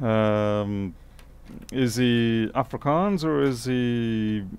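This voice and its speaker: A very slow-paced man with an Australian accent, fairly low in pitch, with ordinary pitch variation. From Australia (Adelaide). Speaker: electronics repair technician. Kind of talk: live-stream repair tutorial with chat. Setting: workshop, live stream. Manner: casual, chatty. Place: workshop.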